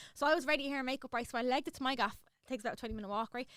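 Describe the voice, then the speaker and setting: A woman's raised, projected, high-pitched voice in a Dublin accent, bright and sharp in tone and animated. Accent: Irish, Dublin. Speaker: social media influencer. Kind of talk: casual chat. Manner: fast.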